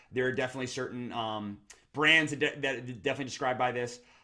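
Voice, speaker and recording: Very fast delivery with fairly even intonation and a bright, sharp tone. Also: man. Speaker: branding consultant. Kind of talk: tutorial.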